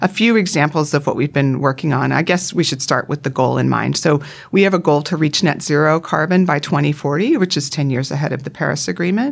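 A woman with a Canadian accent speaks at a very fast pace with hardly any pauses, her very deep, low pitch showing ordinary variation. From Canada, Vancouver Island. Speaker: retail executive. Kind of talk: interview.

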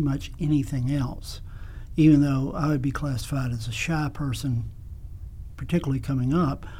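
A man with a South Carolina accent speaks amid audible room echo. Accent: Southern US (South Carolina). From US South, South Carolina (Kingstree). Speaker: music teacher. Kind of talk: casual interview.

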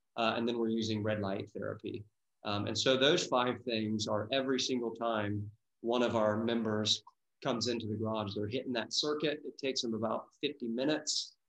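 At a moderate pace, a man of medium pitch speaks with fairly even intonation in a normal speaking voice. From US Midwest, Dayton, Ohio. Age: 30s. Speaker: wellness business owner. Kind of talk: interview.

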